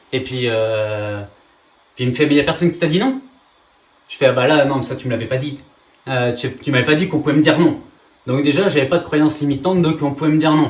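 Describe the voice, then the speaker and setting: The speaker moves at a fairly quick pace with ordinary pitch variation and big swings in loudness. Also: man, fairly high pitch for a man. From France. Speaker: real estate trainer and coach. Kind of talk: masterclass presentation. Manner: fast; energetic, many filler hesitations.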